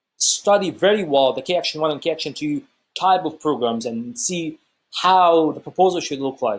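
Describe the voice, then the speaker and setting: A man's fairly high voice with an Egyptian accent and lively intonation, on a very clean recording with a silent background. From Egypt (Cairo). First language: Arabic. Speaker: YouTuber sharing travel experiences. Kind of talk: casual vlog explainer. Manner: fast; halting, many fillers and restarts.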